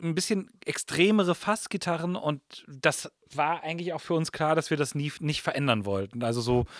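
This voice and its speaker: At a moderate pace, a man speaks at a fairly high pitch in an ordinary speaking voice. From Germany. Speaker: guitarist in a soul band. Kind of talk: casual chat. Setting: studio.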